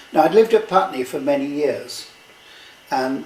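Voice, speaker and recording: A fairly high-pitched male voice amid noticeable background noise. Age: 80s+. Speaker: retired rowing club secretary and navy veteran. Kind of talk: reminiscing conversation.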